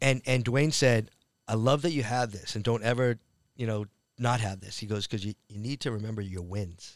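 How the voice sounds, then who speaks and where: Speaking at a moderate pace in a medium pitch with ordinary pitch variation, a man has a plain, everyday voice in a very clean recording with a silent background. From Massachusetts (Framingham, near Boston). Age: 50s. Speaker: comedian and actor. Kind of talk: casual chat.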